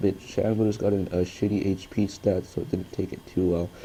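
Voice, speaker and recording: An unremarkable speaking voice, male and fairly low-pitched, at a fairly quick pace. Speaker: gaming commentator. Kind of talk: game commentary. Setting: low-quality mic.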